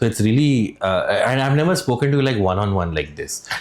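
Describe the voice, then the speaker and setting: Very fast speech with lively intonation over noticeable background noise. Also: man. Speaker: podcast host. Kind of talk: casual interview.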